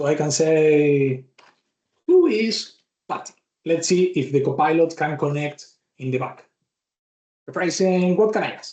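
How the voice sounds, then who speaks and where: The speaker has a Spanish accent and a fairly slow pace. Long, frequent pauses break up the speech. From Argentina. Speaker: tech speaker. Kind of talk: live software demo.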